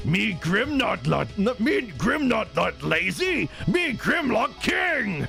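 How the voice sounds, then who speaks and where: Over clear music in the background, a man uses a put-on character voice at a very slow pace. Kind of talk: broken, primitive grammar. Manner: crude, boastful.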